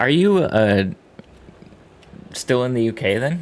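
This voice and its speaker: Speaking with an American accent, a man uses a medium pitch and lively intonation. His pace is very slow. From US East Coast, Boston area. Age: 30s. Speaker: video game streamer. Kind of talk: casual chat. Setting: live stream.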